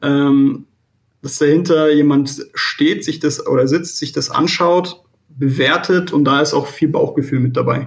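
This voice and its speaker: Somewhat breathy, a man speaks with a fairly high pitch. His pace is fairly slow and his intonation fairly even. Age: 20s. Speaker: real estate credit analyst. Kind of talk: interview. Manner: halting, many fillers.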